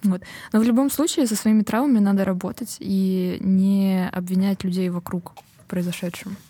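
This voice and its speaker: Her voice sits at a medium pitch and is somewhat breathy. The woman keeps a moderate pace, with ordinary pitch variation. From Estonia. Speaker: comedian. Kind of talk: casual chat.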